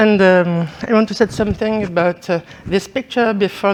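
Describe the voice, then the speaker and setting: A woman speaks with a French accent. Her intonation is fairly even. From northern France, Algerian family. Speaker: art historian and curator. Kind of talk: lecture. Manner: halting.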